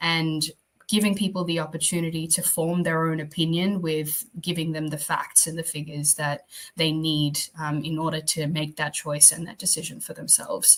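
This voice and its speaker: The speaker's voice is somewhat breathy, with monotone, flat intonation and a fairly quick pace. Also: woman. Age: 20s. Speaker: cyber criminologist. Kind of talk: interview. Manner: many fillers (um, uh).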